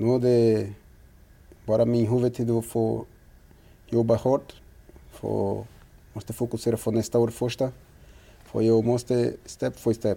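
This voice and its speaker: Dark and mellow in tone, a man's medium-pitched voice moves at a fairly slow pace. His intonation is monotone and flat. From Brazil. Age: 30s. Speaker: professional footballer. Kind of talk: interview. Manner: halting.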